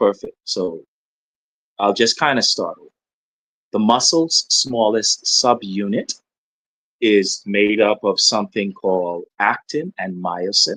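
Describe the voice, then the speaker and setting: A man talks at a very slow pace, with long, frequent pauses and big swings in loudness. The sound is dry and close with no echo. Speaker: medical doctor. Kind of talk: medical explanation in interview. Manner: soft-spoken; halting. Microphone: wearing a mic, too quiet.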